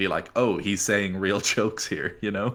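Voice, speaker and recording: A man's fairly low voice with a bright, sharp tone, ordinary pitch variation and a slight Irish accent. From Ireland. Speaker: esports caster. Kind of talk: casual chat; live commentary. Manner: hesitant fillers.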